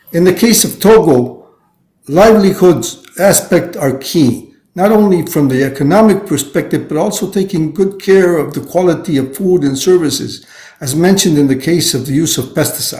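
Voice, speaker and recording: Speaking at a moderate pace, a man uses a high, dark, mellow voice with ordinary pitch variation. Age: 70s. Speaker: UN training official. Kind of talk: prepared speech. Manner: halting.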